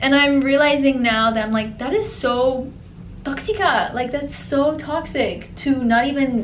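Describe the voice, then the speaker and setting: In an American accent, a woman speaks at a high pitch and a fairly slow pace, with ordinary pitch variation. Noticeable background noise and audible room echo are present. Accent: sounds American. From grew up in a Middle Eastern country, then America. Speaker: lifestyle vlogger. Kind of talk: casual chat.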